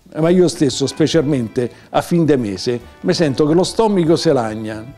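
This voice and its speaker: With a Roman accent, a man speaks at a moderate pace in a fairly high pitch. His pitch swings very widely, and faint music plays in the background. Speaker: poet. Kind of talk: poetry reading. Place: home room.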